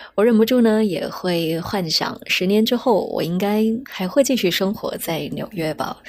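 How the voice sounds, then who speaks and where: A woman with a Chinese accent talks at a moderate pace, her pitch varying in an ordinary way. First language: Mandarin Chinese. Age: 30s. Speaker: podcast host. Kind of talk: scripted narration.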